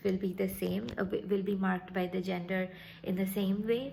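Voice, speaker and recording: At a moderate pace, a woman of medium pitch speaks in a monotone, flat intonation, with audible room echo. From India, Calcutta. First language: Bengali. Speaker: vlogger. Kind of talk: casual vlog talk. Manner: halting, many fillers and restarts.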